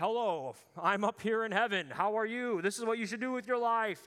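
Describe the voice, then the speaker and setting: A man uses a put-on character voice, raised and projected, high-pitched for a man and at a fairly quick pace. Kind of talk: cheery, chatty.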